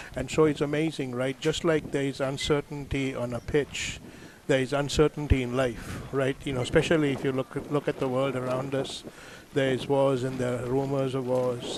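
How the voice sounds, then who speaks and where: A man speaks at a moderate pace in a flat monotone. Noticeable background noise is present. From Sri Lanka. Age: 60s. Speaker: author. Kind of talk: interview.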